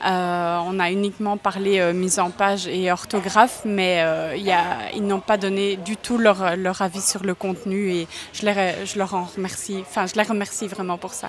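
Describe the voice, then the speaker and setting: A woman at medium pitch and a fairly slow pace, flat and monotone, against noticeable background noise. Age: 20s. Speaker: psychologist and first-time novelist. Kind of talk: interview. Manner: hesitant, many fillers and repetitions.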